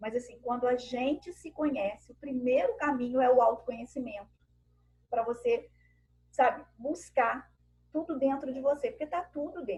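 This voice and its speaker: Her voice is high for a woman, delivered at a moderate pace with ordinary pitch variation. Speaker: women's group speaker. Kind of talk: talk to a women's group on a video call.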